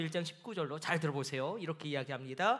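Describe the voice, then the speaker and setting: A man talks at a very fast pace. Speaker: pastor. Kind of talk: sermon.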